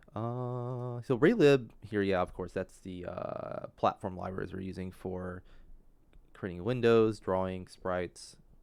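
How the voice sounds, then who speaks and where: Quiet and at a fairly slow pace, a man with a fairly low pitch speaks with ordinary pitch variation and big swings in loudness. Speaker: game developer livestreamer. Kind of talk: live coding tutorial stream. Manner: halting, many fillers.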